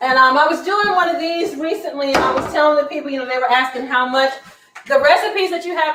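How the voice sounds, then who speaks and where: Noticeable background noise and audible room echo surround a woman who talks very fast. Her tone is animated, with ordinary pitch variation. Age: 60s. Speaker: cooking instructor. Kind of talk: cooking demonstration. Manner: casual, animated.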